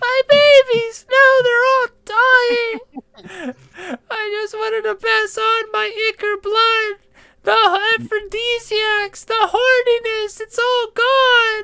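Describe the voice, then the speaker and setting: Very slowly, a female-sounding voice in a put-on character voice speaks at an extremely high pitch. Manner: panicked, anguished.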